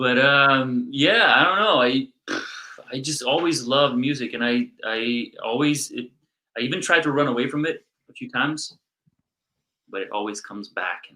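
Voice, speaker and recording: A man's mumbling voice, fairly high-pitched and bright and sharp in tone, at a moderate pace with ordinary pitch variation, big swings in loudness, and long, frequent pauses. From Brazil. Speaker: drummer in a rock band. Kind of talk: casual interview chat.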